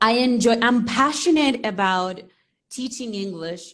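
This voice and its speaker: A woman speaks at a very slow pace. Her voice sits fairly high, with ordinary pitch variation. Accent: Spanish. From Venezuela. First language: Spanish. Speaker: English teacher. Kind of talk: interview on a live stream.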